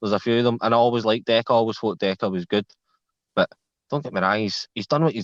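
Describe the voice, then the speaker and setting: Speaking with a Scottish accent, this man talks at a very fast pace and medium pitch. His pitch varies in an ordinary way, and the sound is dry and close with no echo. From Scotland, Glasgow south side. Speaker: live stream panel guest. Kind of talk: casual chat.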